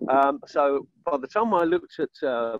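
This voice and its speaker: With a fairly high pitch, a man speaks using ordinary pitch variation. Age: 60s. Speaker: network marketing member. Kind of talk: testimony. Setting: outdoors on video call. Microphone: poor internet connection.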